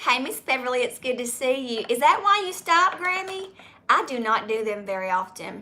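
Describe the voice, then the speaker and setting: A woman with a Southern US accent speaks loudly and at a fairly quick pace. Her high voice moves through very wide pitch swings. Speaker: YouTuber. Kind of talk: live stream Q&A chat.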